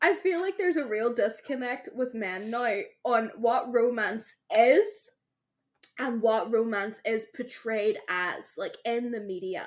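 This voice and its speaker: With a Derry accent, a woman speaks at a fairly high pitch and a fairly slow pace, her intonation lively. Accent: Northern Irish (Derry). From Northern Ireland, Derry. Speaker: podcast co-host. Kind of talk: casual chat. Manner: animated.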